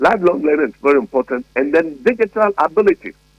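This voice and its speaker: A man talks at a very fast pace with a fairly high pitch and vocal fry. The sound is dry and close, with no echo. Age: 70s. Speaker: educationist. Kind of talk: radio interview.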